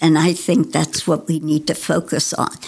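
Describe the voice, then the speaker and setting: A woman with vocal fry speaks at a fairly low pitch. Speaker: retired lawyer, city council candidate. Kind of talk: interview. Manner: halting.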